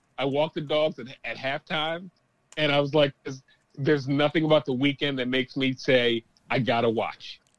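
A man speaks in a normal speaking voice, pitched fairly high, at a moderate pace. His intonation stays fairly even, and the sound is dry and close with no echo. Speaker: sports podcast guest. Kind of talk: casual chat.

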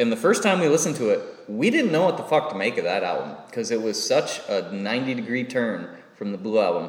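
The speaker talks at a very fast pace with an American accent, with audible room echo and noticeable background noise. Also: man. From northern Michigan. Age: 30s. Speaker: musician. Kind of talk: casual chat. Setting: public library.

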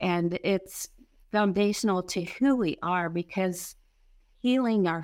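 A normal speaking voice moves at a fairly slow pace on a very clean recording with a silent background. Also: woman. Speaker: pastor and inner healing minister. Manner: soothing, gentle.

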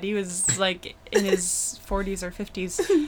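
A woman talks with an American accent and lively intonation. There is noticeable background noise behind her. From Brockton, Massachusetts. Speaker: comedian. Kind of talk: casual chat.

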